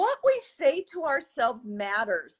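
A woman takes a fairly slow pace. Behind her the background is quiet. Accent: American. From US Midwest. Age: 50s. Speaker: orthopedic surgeon. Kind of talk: interview. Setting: video call. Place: home room. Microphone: video call.

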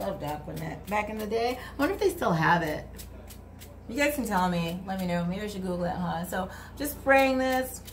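Lively intonation marks this woman's fairly quick speech, with light background noise. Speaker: YouTuber, former prison inmate; vlogger. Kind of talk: casual tutorial vlog. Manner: chatty, informal. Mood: relaxed, playful. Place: home room. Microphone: phone near.

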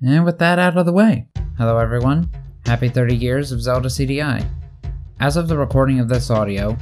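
Over music in the background, a man speaks at a fairly quick pace with lively intonation. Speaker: video creator narrating own project. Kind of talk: video essay narration.

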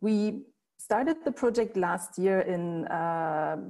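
A woman with a German accent and a dark, mellow tone, over a quiet background. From Germany. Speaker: cultural institute director; presenter. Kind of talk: presentation. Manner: hesitant, many fillers. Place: home room. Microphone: earbuds.

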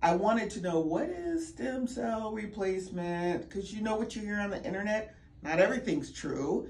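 A woman with an American accent at a moderate pace, very wide pitch swings, and audible room echo. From Virginia, Richmond. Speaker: patient giving testimonial. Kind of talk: testimony.

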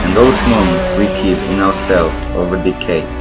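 A man keeps to a moderate pace while loud background noise goes on. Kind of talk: motorsport tribute narration. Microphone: headset.

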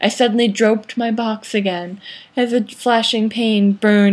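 An unforced reading voice, intonation fairly even

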